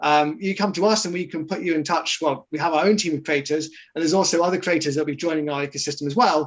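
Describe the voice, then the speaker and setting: Very fast speech in a British accent. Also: man, fairly high pitch for a man. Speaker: marketing executive of a crypto project. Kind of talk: interview in a livestreamed Q&A. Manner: hesitant, many fillers.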